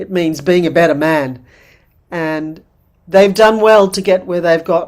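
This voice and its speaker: A woman with a normal speaking voice talks at a fairly low pitch and a fairly slow pace, with ordinary pitch variation. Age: 60s. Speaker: midwife and women's wisdom teacher. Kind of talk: workshop talk.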